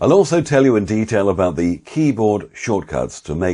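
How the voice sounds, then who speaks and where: In a British accent, a man with a dark, mellow tone speaks at a moderate pace, his pitch swinging very widely over a quiet background. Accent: RP British. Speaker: voice-over artist and course instructor. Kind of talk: course promo. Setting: home office.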